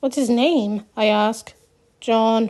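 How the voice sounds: A natural reading voice keeps its intonation fairly level.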